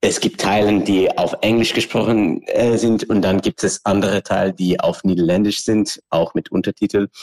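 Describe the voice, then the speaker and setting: Moving at a moderate pace with hardly any pauses, a man keeps his loudness very even in a dry, close sound with no echo. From Australia. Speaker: choreographer and performance artist. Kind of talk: interview. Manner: halting.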